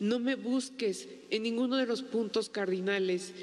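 At a fairly slow pace, a woman speaks in a plain, everyday voice with a fairly high pitch and fairly even intonation. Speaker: widow and writer. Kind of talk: poet reading aloud, solemn and intimate.

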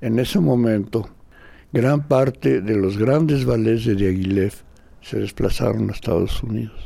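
A man with a Mexican accent speaks at a fairly slow pace. His voice sits at a medium pitch and has a dark, mellow tone. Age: 80s+. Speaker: dancer and choreographer. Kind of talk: interview testimony. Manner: animated.

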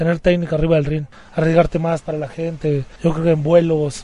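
A high-pitched man at a fairly quick pace over noticeable background noise. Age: 20s. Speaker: professional wrestler. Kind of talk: interview.

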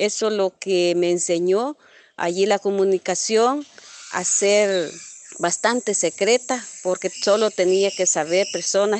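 A plain, everyday voice from a woman at medium pitch, fairly even intonation and a dry, close sound with no echo. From El Salvador, Cabañas department. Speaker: former guerrilla radio operator. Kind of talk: testimony.

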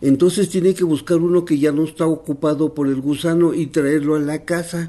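Fairly high-pitched and fairly even in intonation, a man talks with an Oaxacan accent. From Huautla de Jiménez, Oaxaca, Mexico. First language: Mazatec (speaking Spanish). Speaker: traditional healer and nurse. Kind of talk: interview testimony.

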